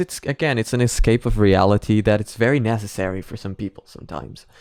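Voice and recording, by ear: At a fairly quick pace, the voice has a slightly mellow tone and ordinary pitch variation on a very clean recording with a silent background. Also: man.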